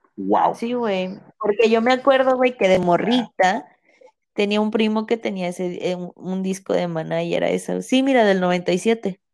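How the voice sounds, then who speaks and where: Speaking in a Mexican accent, a woman uses a medium pitch at a fairly slow pace. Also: ordinary pitch variation. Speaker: podcast co-host. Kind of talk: casual chat. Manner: animated.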